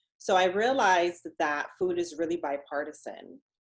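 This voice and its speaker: The voice belongs to a woman. It rises and falls in a normal way. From Jamaica, moved to US very young. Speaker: dietitian and diabetes educator. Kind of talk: podcast interview. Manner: conversational, animated.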